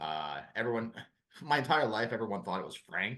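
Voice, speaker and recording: Fairly low in pitch, a man speaks at a fairly quick pace in a Chicago accent, with lively intonation and a bright, sharp tone. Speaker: former high school history teacher. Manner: hesitant, many fillers.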